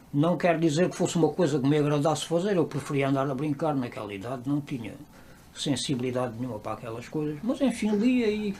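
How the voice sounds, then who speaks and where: Talking very fast, a man's voice sits fairly high in pitch. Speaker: interviewee. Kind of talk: interview testimony.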